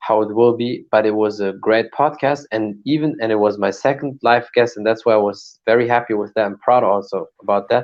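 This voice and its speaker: Someone with a German accent talks at a moderate pace, the intonation fairly even. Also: man. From Germany. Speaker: martial artist and podcaster. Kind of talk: casual chat.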